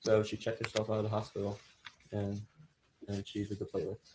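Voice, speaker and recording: Talking at a very fast pace, a man uses a medium-pitched, somewhat breathy voice with a dark, mellow tone. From Florida (Venice), born in Chicago. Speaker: trial witness. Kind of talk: witness testimony. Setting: courtroom.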